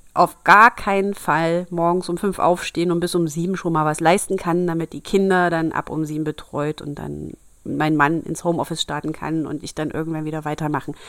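A woman speaks with fairly low pitch and fairly even intonation at a moderate pace. The recording is very clean, with a silent background. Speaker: podcast host reading fairy tales. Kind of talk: reading aloud; casual chat. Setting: home bedroom.

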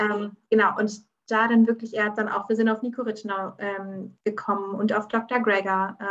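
Her pitch is fairly high and her pace moderate. This woman talks with monotone, flat intonation. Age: 20s. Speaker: vegan cooking expert. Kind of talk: interview.

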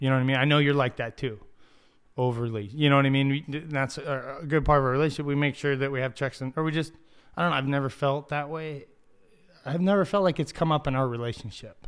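On a very clean recording with a silent background, a man with an American accent and a fairly high pitch talks at a very fast pace with fairly even intonation. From Ocotillo, US Southwest. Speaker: podcast co-host. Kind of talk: casual chat. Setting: studio.

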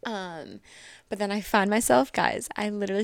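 A woman with an American accent talks at a moderate pace in a plain, everyday voice, on a very clean recording with a silent background. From Connecticut, US. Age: 20s. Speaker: social media influencer. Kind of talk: casual chat.

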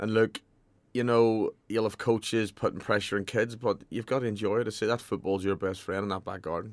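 A man speaks at a fairly quick pace in a fairly low pitch with flat, monotone intonation. The recording is very clean, with a silent background. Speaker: football manager. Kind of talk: radio interview.

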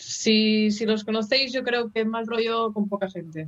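Her pitch fairly high, a woman speaks with monotone, flat intonation. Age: 20s. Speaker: rock band musician. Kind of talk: radio interview.

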